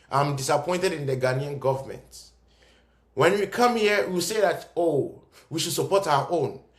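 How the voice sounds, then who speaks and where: Over audible room echo, a man talks at a moderate pace with lively intonation and a fairly high pitch. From Ghana (Cape Coast). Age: young. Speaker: commentator. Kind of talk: video monologue. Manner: animated.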